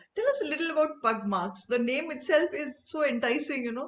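The speaker is a woman. Lively intonation runs through her delivery. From India. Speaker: interviewer. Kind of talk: interview. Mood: warm, enthusiastic. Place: home room. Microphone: video call.

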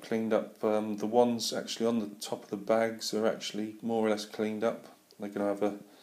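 Speaking at a fairly quick pace, a man with a fairly low pitch delivers his words in a flat monotone. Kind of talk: casual vlog chat. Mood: relaxed, friendly. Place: home room. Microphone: phone near.

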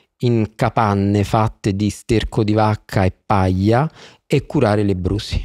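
Against a quiet background, a man with a fairly low pitch talks at a fairly slow pace in a dry sound with no echo. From Naples, southern Italy; southern Italy. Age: 40s. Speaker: podcast guest. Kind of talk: interview. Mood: earnest, thoughtful. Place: studio. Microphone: studio mic.

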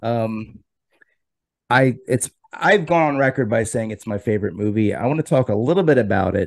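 A man's lively intonation comes at a moderate pace over a quiet background. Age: 40s. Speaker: video interview show host; interview host. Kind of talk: casual interview. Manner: halting, repeats words. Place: home room. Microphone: studio mic.

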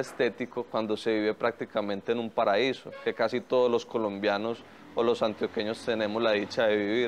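There is light background noise as a man speaks. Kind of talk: interview answer. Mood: calm, reflective.

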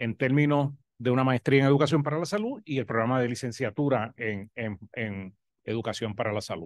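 A man with a Puerto Rican accent speaks at a fairly quick pace with ordinary pitch variation, the sound dry with no echo over a quiet background. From Puerto Rico. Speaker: professor of health education. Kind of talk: academic presentation. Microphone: video call.

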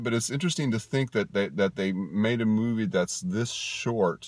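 A man's fairly low voice, slightly mellow in tone, with ordinary pitch variation at a moderate pace

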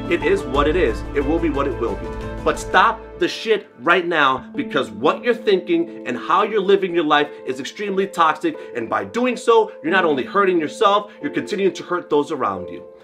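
A man at a moderate pace with hardly any pauses, clear music in the background. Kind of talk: direct-to-camera monologue. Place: gym.

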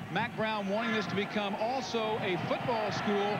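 Noticeable background noise fills the clip. A man speaks at a high pitch. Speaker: sideline reporter. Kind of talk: live sports reporting.

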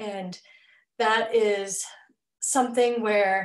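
With an American accent, a woman talks at medium pitch in a flat, monotone delivery over a quiet background. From Southeast Missouri. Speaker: teacher and PhD candidate; teacher, candidate. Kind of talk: webinar presentation. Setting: video call. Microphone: webcam.

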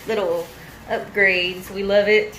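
A woman talks fairly slowly, with light noise behind her. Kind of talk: casual vlog chat. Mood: cheerful, pleased. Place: bathroom.

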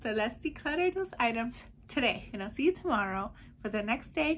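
A woman speaks at a fairly quick pace. Her pitch swings very widely. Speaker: declutter challenge host. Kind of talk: casual vlog chat. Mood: cheerful, smiling. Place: home room. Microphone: phone near.

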